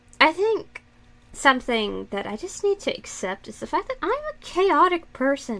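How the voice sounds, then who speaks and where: With noticeable background noise, a woman with an American accent speaks at a moderate pace, her pitch extremely high and swinging very widely. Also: big swings in loudness. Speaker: streamer, digital artist. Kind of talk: casual live-stream chat while drawing. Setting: live stream.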